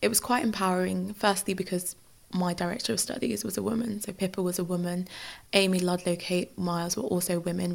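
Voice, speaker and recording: With a London accent, a woman talks at a fairly quick pace, her pitch varying in an ordinary way. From Nigeria, then northwest London from age 11. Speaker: law graduate. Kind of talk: interview.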